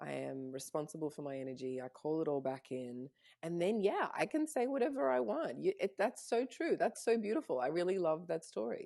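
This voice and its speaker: Speaking with an Australian accent, a woman talks at a fairly quick pace. She leaves hardly any pauses. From Canada and Australia. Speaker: spiritual mentor. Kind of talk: casual chat.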